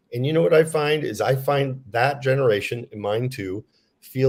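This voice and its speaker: A medium-pitched, somewhat breathy man at a moderate pace, on a very clean recording with a silent background. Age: 60s. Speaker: author. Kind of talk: interview.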